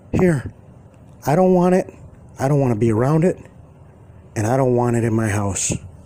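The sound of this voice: Using a put-on character voice, a man with a medium pitch speaks at a moderate pace, shaky, with lively intonation, very even loudness, and long, frequent pauses.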